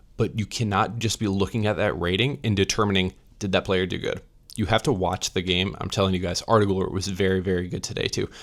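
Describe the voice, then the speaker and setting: A quiet man with a very deep, low pitch, very fast pace and fairly even intonation, on a very clean recording with a silent background. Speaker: football reaction youtuber. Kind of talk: match reaction commentary. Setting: hotel room. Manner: restrained, not yelling.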